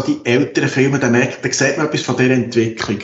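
Somewhat breathy and monotone, a man talks at a moderate pace with a medium pitch and flat intonation. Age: 50s. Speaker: geriatric nurse and documentary filmmaker. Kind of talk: interview.

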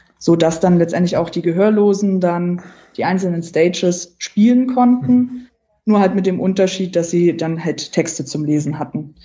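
Speaking at a moderate pace, a woman with a fairly low pitch sounds somewhat breathy and varies her pitch in an ordinary way. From Saxony-Anhalt, Germany. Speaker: geocacher, accessibility campaigner. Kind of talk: interview.

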